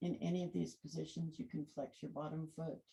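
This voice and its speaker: A woman speaks quietly. Her words come out as mumbling. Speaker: yoga instructor. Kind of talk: guided yoga class. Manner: too quiet.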